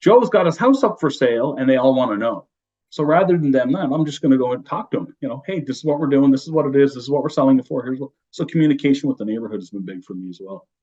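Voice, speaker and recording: A man with a fairly high pitch and a dark, mellow tone talks at a very fast pace with hardly any pauses, his lively intonation matched by big swings in loudness. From Newfoundland, Canada. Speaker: real estate broker. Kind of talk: podcast interview. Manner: talkative.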